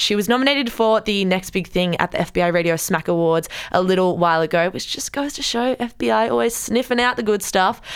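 Speaking in an Australian accent, a woman uses a medium pitch and ordinary pitch variation at a fairly quick pace. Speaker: radio podcast host. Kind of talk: casual chat. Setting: studio.

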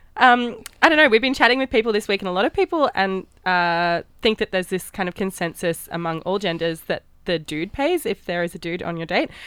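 With an Australian accent, a woman talks at a fairly quick pace, the sound dry and close with no echo. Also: medium pitch for a woman, lively intonation. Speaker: radio host. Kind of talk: radio dj patter. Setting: studio. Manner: chatty, warm, slightly rambling.

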